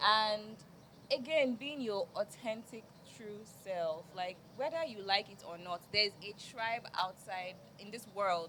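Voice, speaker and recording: A woman speaks at a fairly slow pace with lively intonation and big swings in loudness. Noticeable background noise is present. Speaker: media personality. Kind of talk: panel discussion.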